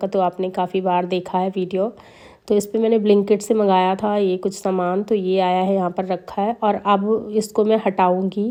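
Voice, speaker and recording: A woman's dark, mellow voice at a moderate pace, flat and monotone, over a quiet background. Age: 30s. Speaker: vlogger and mother of twins. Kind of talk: vlog voiceover narration.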